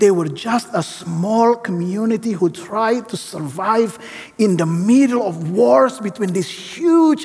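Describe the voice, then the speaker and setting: Against noticeable background noise, a man with a high pitch speaks at a fairly slow pace with hardly any pauses. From Indonesia. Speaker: seminary professor and guest preacher. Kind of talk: sermon. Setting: church with congregation.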